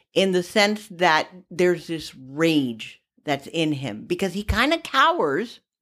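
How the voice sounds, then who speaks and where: In an ordinary speaking voice, a woman talks at a fairly slow pace and fairly low pitch with lively intonation. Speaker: podcast co-host. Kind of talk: casual chat.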